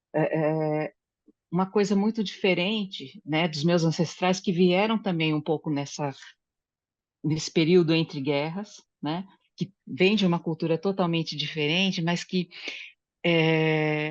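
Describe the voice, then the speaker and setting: A woman with a fairly low voice speaks against a quiet background, leaving long, frequent pauses. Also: fairly even intonation, fairly slow pace. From Brazil. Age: 60s. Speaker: study group participant. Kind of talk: group discussion, personal testimony. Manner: halting, with many fillers.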